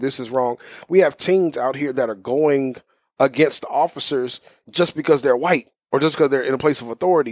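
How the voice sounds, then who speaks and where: Talking at a moderate pace, a man with a fairly high pitch uses an ordinary speaking voice with ordinary pitch variation. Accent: American. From US South, Houston, Texas. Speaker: youth pastor. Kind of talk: interview. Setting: office.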